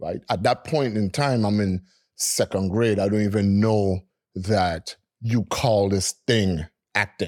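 An unremarkable speaking voice with an American accent delivers fairly even intonation at a fairly slow pace, on a very clean recording with a silent background and a dry, close sound with no echo. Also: man, fairly low pitch for a man. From US Virgin Islands, St. Thomas. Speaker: DJ and music producer. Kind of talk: casual interview storytelling.

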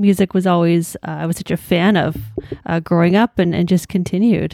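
A woman with an Ontario accent speaks fairly quickly at medium pitch, her tone dark and mellow. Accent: Canadian (Ontario). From Hamilton, Ontario, Canada. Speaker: blogger and journalist. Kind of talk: casual interview.

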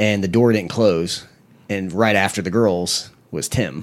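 A man speaks in an American accent. His pitch is very deep and low. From US South, Panama City, Florida. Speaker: cheerleading coach. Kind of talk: casual chat.

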